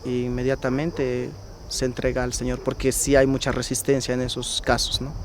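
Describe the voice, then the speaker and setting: A man talks at a moderate pace in a monotone, flat intonation. Noticeable background noise runs underneath. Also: medium pitch for a man. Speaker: priest. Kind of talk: testimony.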